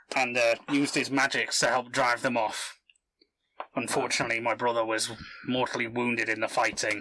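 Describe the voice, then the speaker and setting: A man puts on a raspy character voice at medium pitch, speaking at a fairly quick pace in a monotone, flat delivery broken by long, frequent pauses. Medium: actual play. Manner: gruff, terse.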